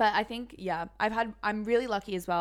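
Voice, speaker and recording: Vocal fry marks this woman's voice, and her intonation is fairly even. The recording is very clean, with a silent background. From Singapore. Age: 20s. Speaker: software salesperson. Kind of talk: casual chat.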